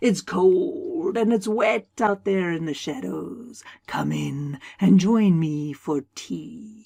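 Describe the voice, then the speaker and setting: Using a put-on character voice at medium pitch, a woman speaks at a very slow pace with hardly any pauses. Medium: read story. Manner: calm, soft, knowing.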